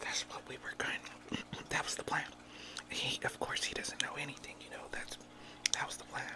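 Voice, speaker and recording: Whispering, a woman leaves long, frequent pauses. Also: moderate pace. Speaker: ASMR mukbang creator. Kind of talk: ASMR mukbang whispered talk. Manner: whispered. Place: home room. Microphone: studio mic.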